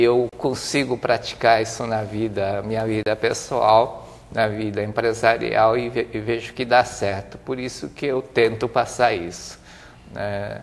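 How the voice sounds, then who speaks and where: A man speaks at a fairly slow pace with fairly even intonation. He has an ordinary speaking voice with a medium pitch. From Brazil, interior of São Paulo state. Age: 60s. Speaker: business administrator and speaker. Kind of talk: interview.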